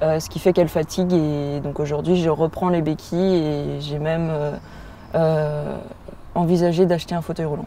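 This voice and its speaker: Against noticeable background noise, a woman with a very deep, low pitch speaks at a moderate pace in a monotone, flat intonation. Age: 20s. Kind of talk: interview testimony. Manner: hesitant, many fillers.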